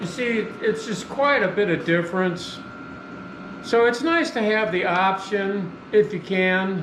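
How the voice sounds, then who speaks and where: Noticeable background noise sits behind a voice moving at a fairly slow pace. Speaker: hobby welder and homesteading vlogger. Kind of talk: tutorial. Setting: metal shop. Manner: loud.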